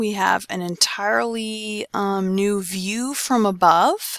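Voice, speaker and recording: With an ordinary speaking voice, a woman talks at a medium pitch with ordinary pitch variation, recorded very cleanly against a silent background with a dry, close sound and no echo. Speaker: anatomy teacher. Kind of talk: lecture.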